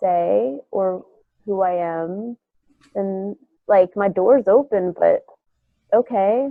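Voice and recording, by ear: In a dry, close sound with no echo, a woman speaks with a nasal voice at medium pitch.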